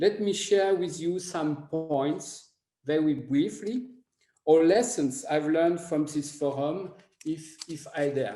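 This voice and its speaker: In a French accent, a man with a fairly high pitch and a dark, mellow tone speaks at a very slow pace with ordinary pitch variation, and audible room echo surrounds him. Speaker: foreign ministry analyst giving closing remarks. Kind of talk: conference closing remarks. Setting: conference forum. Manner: hesitant, many fillers and repetitions.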